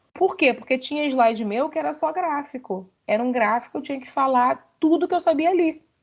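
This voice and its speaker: A woman speaks with lively intonation. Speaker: university lecturer. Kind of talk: online lecture. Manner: fast; animated.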